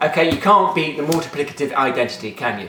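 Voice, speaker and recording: Lively intonation in an English Midlands accent comes through audible room echo and noticeable background noise. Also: man. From England, Nottingham. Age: 20s. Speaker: maths teacher and video blogger. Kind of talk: casual Q&A vlog. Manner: informal, joking, with many fillers.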